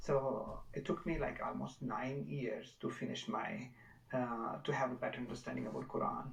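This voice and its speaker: A man with a Pakistani accent talks at a moderate pace amid noticeable background noise and audible room echo. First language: Urdu. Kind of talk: testimony. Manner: halting.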